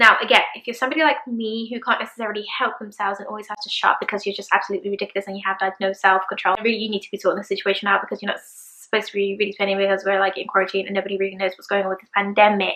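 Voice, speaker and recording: Over noticeable background noise, a woman at medium pitch talks at a very fast pace with hardly any pauses and big swings in loudness. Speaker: fashion YouTuber. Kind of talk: product review vlog. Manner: animated.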